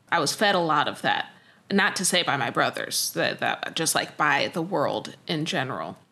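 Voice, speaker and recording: The woman's voice has a bright, sharp tone with vocal fry and ordinary pitch variation. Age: 30s. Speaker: singer and producer. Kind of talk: interview.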